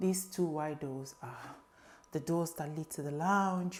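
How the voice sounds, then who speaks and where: A woman whispering at a moderate pace. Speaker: lifestyle vlogger. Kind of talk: home tour vlog. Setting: at home in kitchen. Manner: casual.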